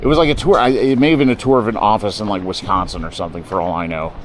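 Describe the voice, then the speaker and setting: A man with a fairly low pitch and an American accent, very fast pace and very wide pitch swings, noticeable background noise behind him. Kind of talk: casual, conversational.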